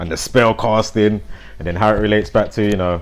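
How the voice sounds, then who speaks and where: A man speaks in a fairly low voice. His intonation is fairly even. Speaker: conspiracy and numerology commentator. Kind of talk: casual monologue. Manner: loud; rambling with fillers.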